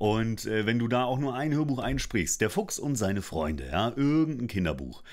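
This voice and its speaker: An animated voice with very wide pitch swings over a quiet background. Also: man. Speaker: voice actor and coach; coach. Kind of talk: casual vlog monologue. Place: studio. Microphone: studio mic.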